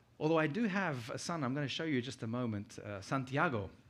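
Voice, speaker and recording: A man with a British accent talks at a fairly quick pace with ordinary pitch variation. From UK. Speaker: conference speaker. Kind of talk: keynote talk.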